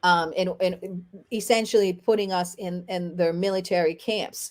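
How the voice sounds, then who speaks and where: A woman at a very slow pace with a Haitian accent, on a very clean recording with a silent background. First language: Haitian Creole. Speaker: lawyer and activist. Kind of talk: interview. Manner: halting with frequent fillers and repetitions.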